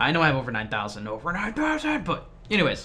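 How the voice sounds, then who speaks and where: A man with a fairly high pitch and very wide pitch swings talks very fast, with audible room echo and noticeable background noise. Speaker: gaming YouTuber and streamer. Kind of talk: casual vlog talk to viewers.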